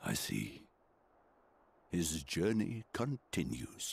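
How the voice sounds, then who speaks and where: In a put-on character voice, a man talks at a very slow pace in a very deep, low pitch with very wide pitch swings. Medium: video game. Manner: gentle, measured, formal.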